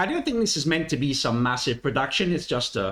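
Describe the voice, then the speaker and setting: A man's fairly high voice with very wide pitch swings and an Italian accent. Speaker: music reaction youtuber. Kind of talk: casual commentary. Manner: hesitant, many fillers.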